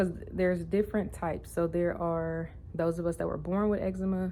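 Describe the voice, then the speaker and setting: This woman's voice has a dark, mellow tone. Her intonation stays fairly even. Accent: American. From Louisiana, US South. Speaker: vlogger. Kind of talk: casual vlog monologue.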